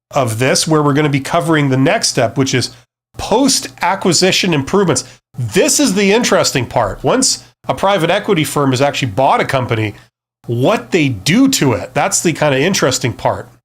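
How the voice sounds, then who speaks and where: On a very clean recording with a silent background, a man speaks at a moderate pace in a fairly high, somewhat breathy voice, with very wide pitch swings and very even loudness. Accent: Canadian. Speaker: business youtuber, former CEO. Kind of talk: live stream talk. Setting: live stream. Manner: casual, with fillers and repeats.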